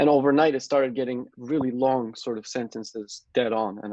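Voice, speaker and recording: A man's voice with fairly even intonation, in a dry, close sound with no echo. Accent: Turkish. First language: Turkish. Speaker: software developer. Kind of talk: interview. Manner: hesitant, many fillers.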